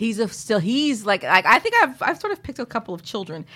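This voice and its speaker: A woman with an American accent races along at a very fast pace, her pitch swinging very widely with vocal fry, in a very clean recording with a silent background. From San Francisco, US West Coast. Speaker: comedian. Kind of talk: casual chat.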